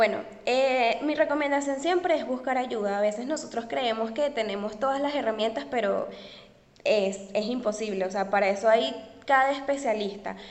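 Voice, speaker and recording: Against audible room echo, a woman with a fairly high pitch and ordinary pitch variation speaks at a moderate pace. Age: 20s. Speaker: tutoring entrepreneur. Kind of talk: interview.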